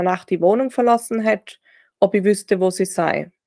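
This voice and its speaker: Heard in a dry, close sound with no echo, a woman with a Tyrolean accent speaks at a medium pitch with ordinary pitch variation. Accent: Tyrolean Austrian German. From Austria, Tyrol (Reutte, near German border). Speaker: grief-recovery sports coach and author. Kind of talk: personal testimony in interview. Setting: video call.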